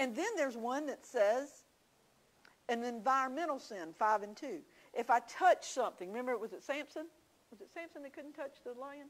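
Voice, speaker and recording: With a Southern US accent, a woman talks in a high pitch for a woman, her intonation lively and her loudness swinging widely. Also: moderate pace. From South Carolina, Williamsburg County. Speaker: Bible study teacher. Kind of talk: Bible teaching. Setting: church.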